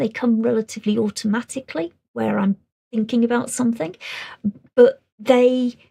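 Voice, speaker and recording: Quiet and dry with no echo, a woman with a British accent speaks at a moderate pace in a fairly high voice with a dark, mellow tone. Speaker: SEN training presenter. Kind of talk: webinar presentation. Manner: relatively quiet.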